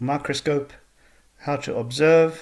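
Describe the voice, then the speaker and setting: A man speaks at a fairly slow pace with a South African accent. His voice is somewhat breathy. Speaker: school science teacher. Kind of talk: recorded online lesson. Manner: explanatory, measured.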